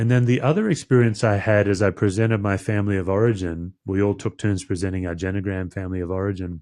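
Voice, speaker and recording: This man has an Australian accent and a fairly low, dark, mellow tone. He talks at a very fast pace. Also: fairly even intonation. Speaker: podcast host, pastor. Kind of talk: interview conversation.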